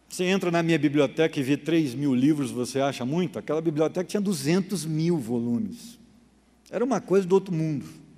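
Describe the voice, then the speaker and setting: Against a quiet background, a man with a fairly high pitch and a dark, mellow tone speaks at a fairly quick pace with lively intonation. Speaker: pastor. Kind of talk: Bible study lecture.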